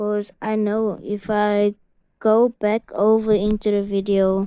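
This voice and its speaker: Medium-pitched female speech. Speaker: gaming video creator. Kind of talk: gameplay commentary. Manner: halting, stuttering; casual, filler-heavy.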